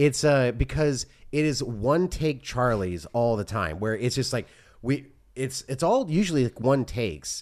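Speaking fairly slowly with lively intonation, this man has a medium-pitched, unremarkable speaking voice. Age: 40s. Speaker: podcast co-host. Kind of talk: casual chat.

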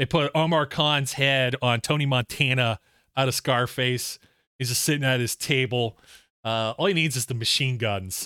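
On a very clean recording with a silent background and a dry, close sound with no echo, a man speaks at a moderate pace in a bright, sharp tone. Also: medium pitch for a man, ordinary pitch variation. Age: 40s. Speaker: sports podcast host. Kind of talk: casual chat.

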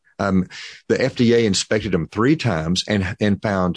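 In a normal speaking voice with an American accent, a man talks at a fairly slow pace and fairly low pitch, his intonation lively, the sound dry and close with no echo over a quiet background. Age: 60s. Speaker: pharmacist. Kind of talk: interview.

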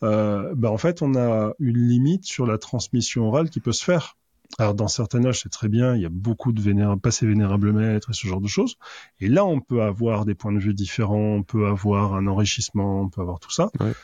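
A man's fairly low voice, dark and mellow in tone, at a fairly quick pace against a quiet background. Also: ordinary pitch variation, dry, close sound with no echo. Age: 40s. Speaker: author, freemason. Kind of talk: casual chat.

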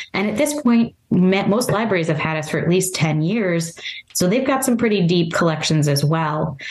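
In a room with audible echo, a woman talks with a Midwestern American accent. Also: medium pitch for a woman, lively intonation, moderate pace. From US Midwest, northeastern Ohio. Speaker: library collection development manager. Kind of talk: interview.

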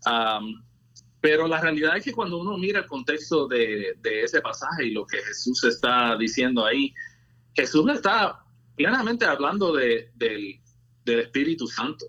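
A man's fairly high, bright, sharp voice at a fairly slow pace, with very wide pitch swings. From Puerto Rico. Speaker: engineer and former movement member. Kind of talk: testimony.

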